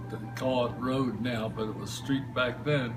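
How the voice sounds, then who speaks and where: A man with a New Jersey accent talks at a fairly slow pace, medium-pitched, with fairly even intonation. Music plays in the background, and the room echo is audible. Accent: New Jersey American. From New Jersey, Princeton. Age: 70s. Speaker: local storyteller. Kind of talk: personal anecdote interview. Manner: halting, filler words.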